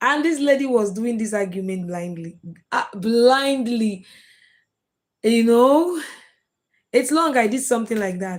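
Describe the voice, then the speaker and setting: This woman's fairly high voice carries lively intonation. She speaks at a fairly slow pace with long, frequent pauses. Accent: Nigerian. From Nigeria. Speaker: live streamer, content creator. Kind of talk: live stream chat with viewers. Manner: casual, chatty.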